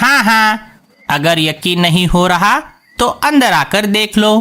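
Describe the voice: A cartoonish character voice, fairly high in pitch, goes along at a fairly slow pace.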